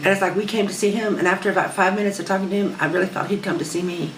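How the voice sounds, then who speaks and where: With an American accent, a woman speaks at a medium pitch amid noticeable background noise and audible room echo. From United States. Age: 60s. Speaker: spiritual seeker interviewed for documentary. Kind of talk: interview storytelling. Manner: halting, many fillers and restarts.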